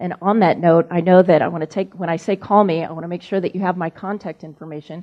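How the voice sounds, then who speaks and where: Flat and monotone, a woman's voice sits at fairly low pitch. She talks at a very fast pace. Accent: American. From Missouri, US Midwest. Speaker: business association executive, former broadcaster. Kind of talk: speech to a club lunch audience.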